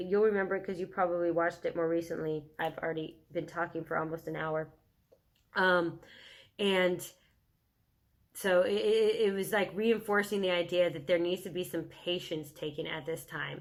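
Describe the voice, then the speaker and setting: Her fairly low-pitched voice moves at a moderate pace, as this woman keeps a fairly even intonation. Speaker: tarot reader. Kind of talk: tarot reading. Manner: halting, many fillers.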